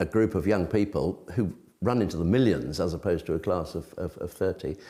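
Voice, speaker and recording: A man with an English accent speaks at a moderate pace in a dark, mellow tone with vocal fry. The recording is very clean, with a silent background. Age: 70s. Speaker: retired primary school teacher. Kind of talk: interview answer.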